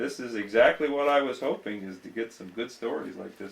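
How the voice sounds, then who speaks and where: In an American accent, a man talks at a medium pitch with ordinary pitch variation. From Ohio, Apple Creek. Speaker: local history interviewer. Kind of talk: oral history interview. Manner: polite, hesitant.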